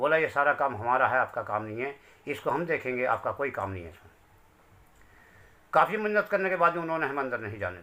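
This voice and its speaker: A man's fairly high-pitched voice, bright and sharp in tone, with very wide pitch swings at a moderate pace. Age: 60s. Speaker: bereaved father. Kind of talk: testimony. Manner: emotional.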